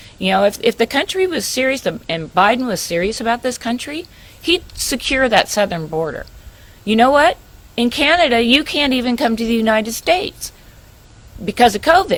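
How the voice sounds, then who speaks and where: A woman's high-pitched voice with very wide pitch swings at a moderate pace. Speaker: investigative reporter. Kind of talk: radio interview.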